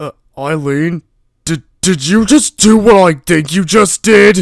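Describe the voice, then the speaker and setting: A put-on character voice from a man, pitched high. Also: fairly slow pace. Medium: machinima. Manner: grumpy, sarcastic.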